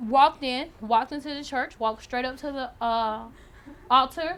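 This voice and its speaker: A woman talks at a high pitch. Her pace is moderate, with ordinary pitch variation. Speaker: student activist. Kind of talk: speech to an audience.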